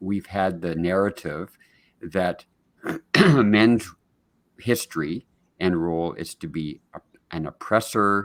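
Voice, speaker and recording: In a very clean recording with a silent background and a dry, close sound with no echo, a man speaks very slowly with a Canadian accent. His pitch is very deep and low, with ordinary variation. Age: 70s. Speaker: men's mental health advocate. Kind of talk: podcast interview. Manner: halting, many repetitions and false starts.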